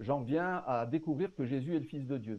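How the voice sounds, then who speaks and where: A man with a southern French accent speaks at a moderate pace with a fairly high pitch and ordinary pitch variation. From southern France, Marseille. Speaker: pastor and Bible commentary author. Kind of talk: casual interview.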